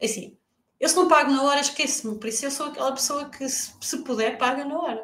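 With a European Portuguese accent, a woman speaks in a high voice with lively intonation. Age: 40s. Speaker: freelance marketer. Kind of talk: live podcast interview.

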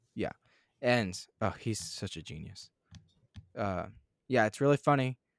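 An animated man with an American accent at a fairly low pitch, lively intonation and a fairly slow pace, long, frequent pauses and big swings in loudness, on a very clean recording with a silent background and a dry, close sound with no echo. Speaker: podcast co-host. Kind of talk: casual chat.

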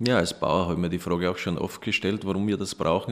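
A man with a very deep, low voice speaks with fairly even intonation on a very clean recording with a silent background. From Austria, Styria (near Graz). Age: 40s. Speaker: organic dairy farmer. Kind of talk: interview.

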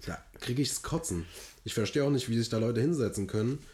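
The speaker is a man with a somewhat breathy voice. His pitch varies in an ordinary way. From Hesse, near Frankfurt. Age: 20s. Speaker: podcast co-host. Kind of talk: casual chat. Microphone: recorded via laptop.

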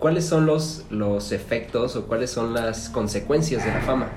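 Recorded with noticeable background noise and audible room echo, a man speaks at medium pitch. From Mexico, Celaya, Guanajuato. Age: 20s. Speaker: podcast co-host. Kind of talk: casual chat.

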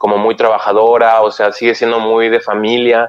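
The man's medium-pitched voice comes through dry and close with no echo. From Mexico, Oaxaca. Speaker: Mexican emigrant in Germany. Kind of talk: casual chat.

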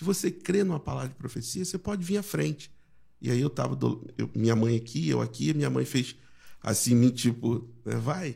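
Speaking at a moderate pace, a man talks with a Rio de Janeiro accent. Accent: Carioca Brazilian Portuguese. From Rio de Janeiro (Jacarepaguá), Brazil. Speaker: pastor. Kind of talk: casual chat.

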